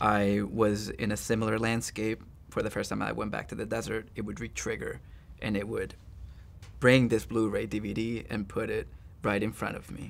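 A man's fairly low voice with vocal fry, fairly even intonation and a moderate pace. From El Salvador. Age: 30s. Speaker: author. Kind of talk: interview answer. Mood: reflective, calm, talking about trauma. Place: studio.

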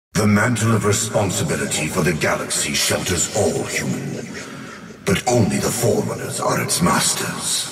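A man puts on a character voice at an extremely low pitch, with a fairly bright tone and lively intonation at a moderate pace. Strong room echo surrounds him, and faint music sits in the background.

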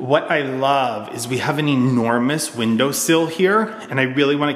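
Against light background noise and audible room echo, a man speaks at a moderate pace with ordinary pitch variation. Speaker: homeowner vlogger. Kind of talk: casual vlog house tour. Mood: pleased, enthusiastic. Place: home room. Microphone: phone near.

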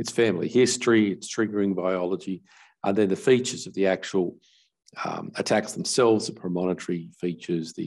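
A man speaks at a very fast pace in a very deep, low pitch. His pitch variation is ordinary, and the background is quiet. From Australia. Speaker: neurologist; neurologist lecturer. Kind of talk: conference lecture. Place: home room. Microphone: webcam.

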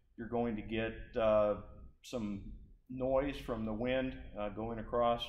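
At a fairly slow pace, a man speaks with fairly even intonation. Room echo is audible, and there is light background noise. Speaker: flight instructor. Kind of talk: tutorial. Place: garage.

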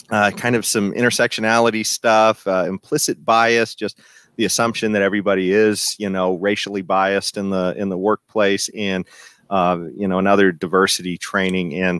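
With a normal speaking voice, a man talks at a moderate pace and a fairly low pitch, his intonation fairly even, in a dry sound with no echo over a quiet background. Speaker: podcast host. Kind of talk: political commentary discussion. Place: home room. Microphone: headset.

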